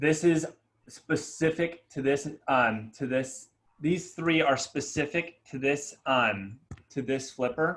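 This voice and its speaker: This man's voice is fairly high pitched, with ordinary pitch variation. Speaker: real estate broker. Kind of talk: office meeting presentation. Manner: fast.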